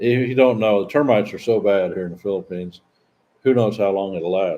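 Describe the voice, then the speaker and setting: This man's voice sits fairly low, moving fairly quickly and rising and falling in an ordinary way. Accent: slight Southern US. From US South, Southeastern Missouri. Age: 60s. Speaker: expat vlogger. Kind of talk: casual live-stream Q&A. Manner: halting, repetitive.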